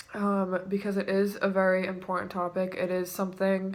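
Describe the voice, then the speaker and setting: A woman's voice, medium in pitch, comes out shaky. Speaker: vlogger. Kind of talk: personal testimony vlog. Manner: shaky voice; halting.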